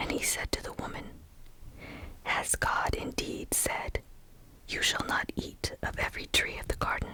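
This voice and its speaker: A woman whispers at a fairly slow pace, with noticeable background noise behind her. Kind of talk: ASMR Bible reading. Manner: whispered.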